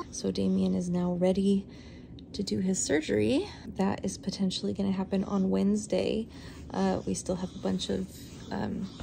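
A woman speaks at a moderate speed while background noise stays noticeable. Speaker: parent vlogger. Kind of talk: casual vlog chat. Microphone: phone near.

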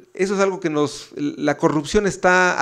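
A man at a moderate pace. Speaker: book editor. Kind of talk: ceremonial speech. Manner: halting.

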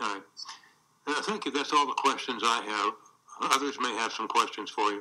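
At a moderate pace, a man with a medium pitch and lively intonation speaks with long, frequent pauses. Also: quiet background. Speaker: attorney. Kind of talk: witness examination. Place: hall. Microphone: podium.

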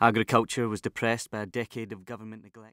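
Delivered at a very fast pace, the speech has a dry sound with no echo and a quiet background. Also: man. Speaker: audiobook narrator. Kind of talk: audiobook narration. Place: booth. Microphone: studio mic.

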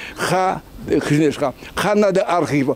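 A man speaks at a moderate pace with a Surinamese accent in an animated tone. The sound is dry, with no echo. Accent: Surinamese Dutch. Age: 80s+. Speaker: party chairman, politician; politician. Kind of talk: interview. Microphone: handheld.

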